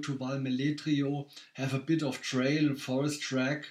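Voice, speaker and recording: With a German accent, a man speaks at a fairly high pitch and a moderate pace in a monotone, flat intonation. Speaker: race director. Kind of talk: casual chat. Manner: halting.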